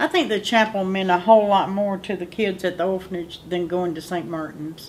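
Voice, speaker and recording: A woman speaks in a North Carolina accent. Her pitch varies in an ordinary way. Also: medium pitch for a woman, fairly quick pace. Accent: Southern US (North Carolina). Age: 60s. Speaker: orphanage alumna. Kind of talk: oral history interview.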